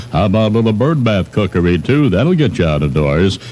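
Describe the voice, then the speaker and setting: A man speaks with an American accent in a fairly low voice and a playful tone, over noticeable background noise. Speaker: radio morning host. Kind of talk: radio DJ patter. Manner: irreverent, playful.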